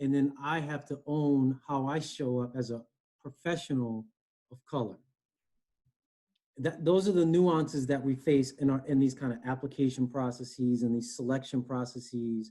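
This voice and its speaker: With a slight East Coast accent, a man speaks at a moderate pace in a fairly high, dark, mellow voice with ordinary pitch variation. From US Northeast, Connecticut. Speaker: human resources director. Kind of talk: interview. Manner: conversational.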